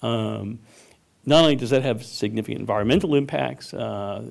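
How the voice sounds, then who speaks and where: Fairly quick in pace, a man speaks at medium pitch with vocal fry. His pitch varies in an ordinary way. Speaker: resident giving public comment. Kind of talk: public comment at planning commission hearing. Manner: halting, many fillers.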